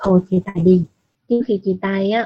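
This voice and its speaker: A woman speaks at a medium pitch and moderate pace, with ordinary pitch variation. Her somewhat breathy voice has a dark, mellow tone, in a dry, close sound with no echo. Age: 20s. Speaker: listener sharing personal story. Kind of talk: personal testimony.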